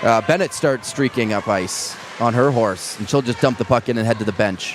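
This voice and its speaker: With music in the background, a man speaks in a Canadian accent at a medium pitch and with ordinary pitch variation. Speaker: ice hockey play-by-play commentator. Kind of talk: live commentary. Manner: fast.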